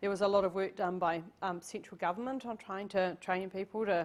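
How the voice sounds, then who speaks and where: This woman has a New Zealand accent and a medium pitch. Her intonation is fairly even and her pace moderate. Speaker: tourism professional and city councillor. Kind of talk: guest lecture to university class. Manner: casual, conversational.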